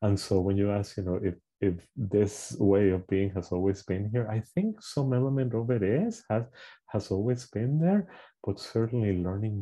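A man speaks at a moderate pace with ordinary pitch variation. His fairly low voice sounds somewhat breathy. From Puerto Rico. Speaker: clinical social worker and trauma therapist. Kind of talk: interview.

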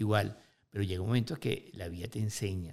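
This voice moves at a very fast pace with vocal fry. The pitch varies in an ordinary way. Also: man. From Venezuela, Lara state. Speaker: motivational speaker. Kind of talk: interview.

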